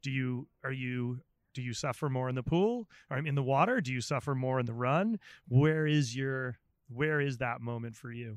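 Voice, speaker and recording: A plain, everyday voice at a moderate pace with ordinary pitch variation, dry and close with no echo, over a quiet background. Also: man, medium pitch for a man. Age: 40s. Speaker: chef and podcast host. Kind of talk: casual interview chat. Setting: outdoors.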